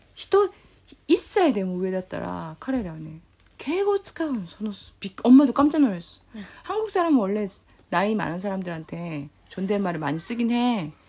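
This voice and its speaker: A woman speaks at a moderate pace in a medium-pitched, somewhat breathy voice with a dark, mellow tone. Her pitch swings very widely, and her loudness rises and falls a lot. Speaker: podcast host, Korean teacher. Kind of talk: casual chat.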